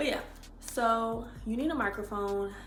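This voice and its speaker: A woman's voice carries audible room echo and noticeable background noise, with ordinary pitch variation. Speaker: lifestyle vlogger. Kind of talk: casual vlog talk to camera. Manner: projecting voice.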